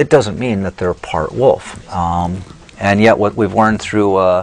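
His pitch sits fairly low and his pace is fairly slow. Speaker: guest. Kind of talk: interview answer. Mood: relaxed, amused. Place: studio.

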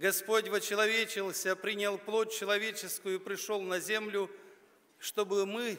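A man speaks in a raised, projected voice with a bright, sharp tone. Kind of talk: festive address speech. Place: stage.

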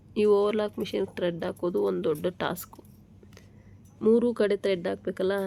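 A woman with a dark, mellow tone speaks with fairly even intonation. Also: medium pitch for a woman. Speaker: tailoring YouTuber. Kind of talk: tutorial.

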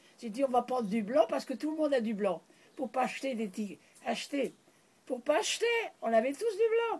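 Over very wide pitch swings, a woman speaks at a high pitch. Her tone is dark and mellow. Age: 80s+. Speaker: pioneer naturist. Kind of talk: interview answer. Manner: reminiscing, conversational. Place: home room. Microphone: phone near.

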